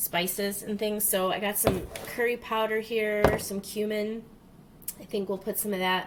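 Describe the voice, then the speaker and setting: Her pitch sits at a medium level for a woman, and her intonation is monotone and flat. Noticeable background noise runs under the recording. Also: moderate pace. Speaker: home cook vlogger. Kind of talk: casual talk to camera. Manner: hesitant, many fillers.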